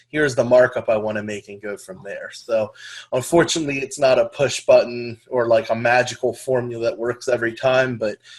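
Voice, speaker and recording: A man talks at a medium pitch and a fairly quick pace, with fairly even intonation. His loudness swings widely. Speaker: lead generation business trainer. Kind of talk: webinar training presentation. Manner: fast.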